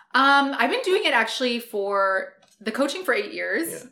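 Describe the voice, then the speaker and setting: Doing a put-on character voice, a woman speaks loud and raspy at a high pitch and moderate pace, her pitch swinging very widely. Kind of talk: podcast host voice. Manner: projecting, louder podcast voice.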